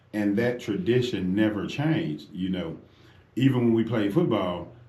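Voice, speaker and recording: Audible room echo carries a man's fairly low-pitched voice, which has a dark, mellow tone and lively intonation. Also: moderate pace. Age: 50s. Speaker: radio host. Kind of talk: talk radio discussion. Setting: radio studio. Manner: animated.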